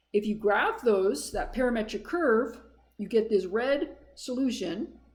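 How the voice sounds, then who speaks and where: In a room with audible echo, a woman speaks at a fairly slow pace with a fairly high pitch and lively intonation. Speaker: math instructor. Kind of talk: lecture.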